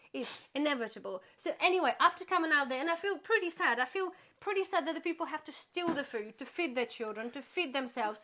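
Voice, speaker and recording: A woman's raised, projected voice at a high pitch, at a very fast pace with lively intonation. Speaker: YouTuber, charity volunteer. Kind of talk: casual chat.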